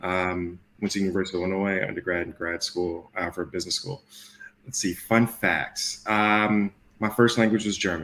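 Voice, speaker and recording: Speaking in an American accent, a man with a very deep, low pitch and a bright, sharp tone keeps a moderate pace and fairly even intonation. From Chicago. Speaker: Marine veteran, training manager. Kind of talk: live interview.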